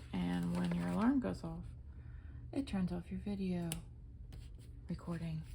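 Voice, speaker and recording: A woman at a moderate pace with audible room echo. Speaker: planner hobby vlogger. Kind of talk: casual plan-with-me narration. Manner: casual, thinking aloud; mumbling to herself.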